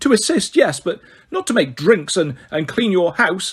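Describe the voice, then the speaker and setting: A man does a put-on character voice that is squeaky and high-pitched, delivered at a moderate pace. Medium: read story.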